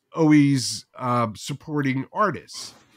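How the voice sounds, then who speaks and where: On a very clean recording with a silent background, a man with a New Jersey accent speaks at a fairly high pitch and a fairly slow pace. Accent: New Jersey American. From New Jersey, US. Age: 60s. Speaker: podcast creator. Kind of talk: casual interview chat.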